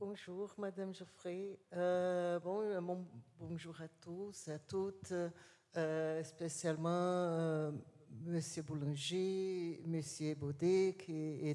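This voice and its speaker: Very slow, fairly even speech in a dark, mellow tone with a Portuguese accent. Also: woman. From Brazil. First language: Portuguese (speaking French). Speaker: university professor. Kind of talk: conference talk. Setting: assembly hall with audience. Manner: slow, deliberate; halting, many hesitations.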